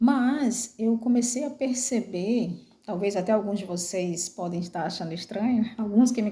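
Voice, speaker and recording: A woman talks at a medium pitch, her tone dark and mellow and her voice somewhat breathy. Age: 40s. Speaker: vlogger. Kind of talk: personal testimony. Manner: halting, many fillers.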